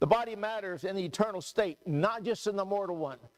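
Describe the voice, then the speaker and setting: Loud and fairly quick, a man talks in a high voice. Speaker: preacher. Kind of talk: sermon. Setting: church. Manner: animated.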